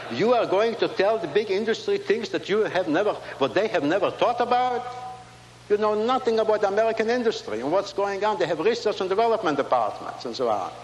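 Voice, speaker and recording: A high-pitched man with a non-native accent, fairly quick, with ordinary pitch variation and noticeable background noise. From Latvia. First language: not English. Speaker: inventor and Holocaust survivor. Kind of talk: keynote speech. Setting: stage with audience.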